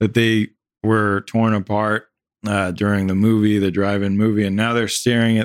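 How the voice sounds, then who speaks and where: An unremarkable speaking voice at a moderate pace with fairly even intonation comes through a very clean recording with a silent background. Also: man. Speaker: podcast host, actor. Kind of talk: casual chat.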